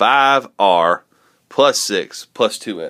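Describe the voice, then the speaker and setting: A man speaks very slowly, with a quiet background behind him. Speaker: math teacher. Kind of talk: tutorial. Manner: casual. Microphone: phone near.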